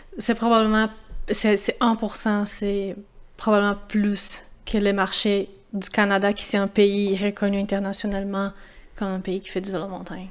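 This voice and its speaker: In a Portuguese accent, a woman talks at a moderate pace with a medium pitch and monotone, flat intonation. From Brazil, São Paulo. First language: Portuguese (speaking French). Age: 30s. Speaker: former pro mountain biker. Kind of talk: podcast interview. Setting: café. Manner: halting, many repetitions.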